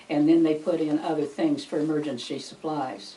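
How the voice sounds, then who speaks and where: Very deep, low female voice with ordinary pitch variation at a moderate pace, over noticeable background noise. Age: 80s+. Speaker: retired school food service worker. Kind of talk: oral history interview answer.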